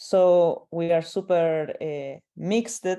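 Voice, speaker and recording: Music plays in the background as a woman with a Chilean accent speaks at a very slow pace. Her pitch is fairly low and her intonation fairly even. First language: Spanish. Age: 20s. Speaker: artist. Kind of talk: panel discussion. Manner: halting, many fillers.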